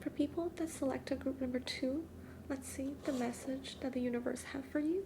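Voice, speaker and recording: Soft-spoken delivery at a moderate pace. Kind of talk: soft-spoken ASMR tarot card reading.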